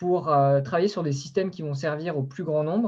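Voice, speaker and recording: A man speaks in a fairly high pitch with ordinary pitch variation. His voice is somewhat breathy, with a dark, mellow tone. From Brittany, France (Concarneau). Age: 20s. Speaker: ocean project founder, engineer and former merchant navy officer. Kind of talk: online interview talk. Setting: online video conference. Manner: halting, many fillers.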